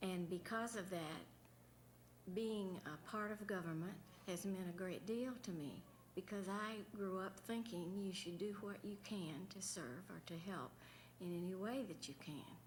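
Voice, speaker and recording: A woman with a Southern US accent talks at a fairly slow pace, with ordinary pitch variation. Noticeable background noise and audible room echo are present. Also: medium pitch for a woman. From central Florida, Sanford. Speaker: former governor's wife. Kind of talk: panel remarks.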